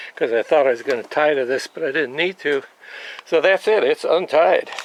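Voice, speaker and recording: Over noticeable background noise, a man speaks at a fairly high pitch and a moderate pace with ordinary pitch variation, in a dry, close sound with no echo. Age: 70s. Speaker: motorcycle how-to video maker. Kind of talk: tutorial. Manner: hesitant, many filler words.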